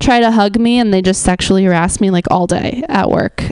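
This is a woman speaking. Her pace is moderate. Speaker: comedy show emcee. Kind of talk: stand-up. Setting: stage with audience. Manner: halting.

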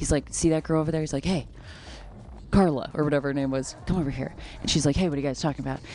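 A woman speaks at a very fast pace with long, frequent pauses, her very deep, low voice dark and mellow with vocal fry. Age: 30s. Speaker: comedian. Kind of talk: casual chat.

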